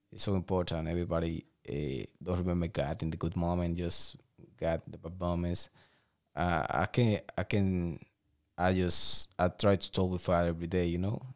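A man's very deep, low voice with a Spanish accent, fairly even intonation and a moderate pace, on a very clean recording with a silent background. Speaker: professional boxer. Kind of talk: interview.

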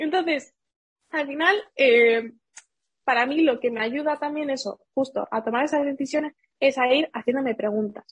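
A woman speaks in a high voice at a moderate pace, with ordinary pitch variation. The sound is dry and close, with no echo. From Seville, Andalusia, Spain. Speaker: digital marketing entrepreneur. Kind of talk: interview.

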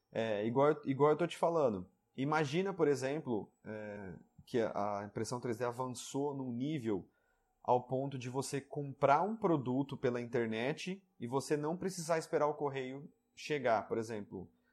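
At a fairly slow pace, a man with an unremarkable speaking voice and medium pitch uses lively intonation in a very clean recording with a silent background. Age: 30s. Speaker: 3D printing YouTuber. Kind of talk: interview.

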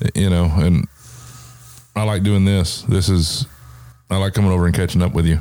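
In an American accent, a man with a very deep, low pitch and a dark, mellow tone speaks at a moderate pace with fairly even intonation. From US South. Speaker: podcast host. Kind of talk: casual chat.

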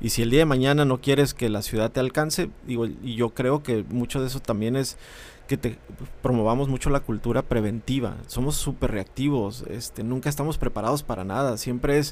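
This is a plain, everyday voice. It moves at a fairly quick pace. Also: man. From Mexicali, Baja California, Mexico. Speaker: civic association director. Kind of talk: casual interview.

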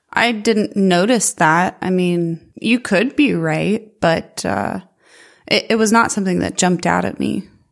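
A woman's medium-pitched voice, ordinary in pitch variation and fairly slow in pace, on a very clean recording with a silent background. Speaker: movie podcast co-host. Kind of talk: casual chat. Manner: energetic.

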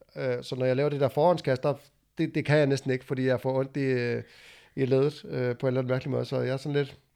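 A man's dark, mellow voice at medium pitch, very fast pace, and fairly even intonation. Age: 30s. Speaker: podcast host, former tradesman and powerlifter. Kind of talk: casual chat.

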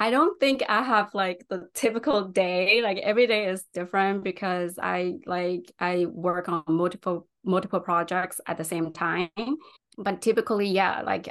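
A woman talks with a Chinese accent at a medium pitch. Her intonation is fairly even over a quiet background. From China. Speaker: UX designer. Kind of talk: interview.

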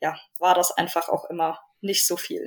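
Her intonation fairly even and her pitch medium, a woman talks in an unremarkable speaking voice. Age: 20s. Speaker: endurance rider, horse owner. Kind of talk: casual interview.

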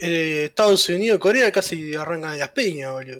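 In a dry, close sound with no echo, a man with a Uruguayan accent talks at a fairly quick pace with ordinary pitch variation. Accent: Rioplatense Spanish (Uruguayan). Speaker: podcast co-host. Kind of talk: casual chat.

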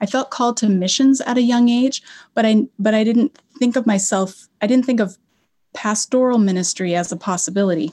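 A woman speaks fairly quickly in a fairly high pitch, her tone dark and mellow and somewhat breathy. Her loudness stays very even on a very clean recording with a silent background. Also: ordinary pitch variation. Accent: General American. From Colorado. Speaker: Old Testament professor. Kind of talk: interview.

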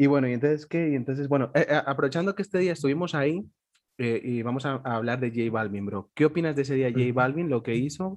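A very fast pace with ordinary pitch variation. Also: man, fairly high pitch for a man. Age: 20s. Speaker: podcast host. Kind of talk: casual chat. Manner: animated.

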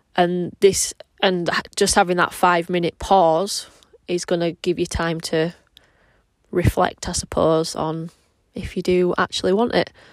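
A woman with a fairly low voice speaks fairly slowly in a flat monotone, with long, frequent pauses. The sound is dry and close, with no echo. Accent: Yorkshire. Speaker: personal trainer and podcast host. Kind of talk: casual solo monologue. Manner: rambling, casual.

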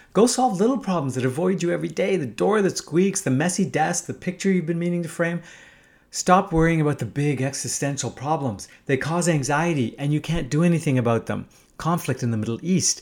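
An ordinary speaking voice with lively intonation at a fairly quick pace, on a very clean recording with a silent background. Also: man. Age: 50s. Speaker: podcast host and entrepreneur. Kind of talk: monologue essay reading.

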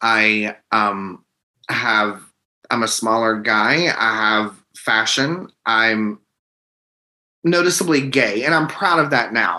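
Slowly, a man speaks in a fairly low, bright, sharp voice with ordinary pitch variation.

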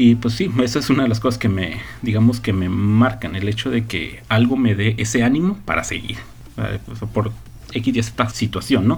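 A man with a medium-pitched voice talks at a moderate pace with ordinary pitch variation, and room echo is audible. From northern Mexico. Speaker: podcast host. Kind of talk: casual chat.

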